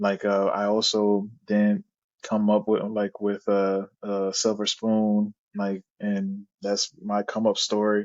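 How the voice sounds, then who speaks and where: In a Haitian accent, a man speaks very slowly in a fairly low, flat monotone. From Haiti, raised in Florida. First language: Haitian Creole. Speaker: product manager. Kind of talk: interview.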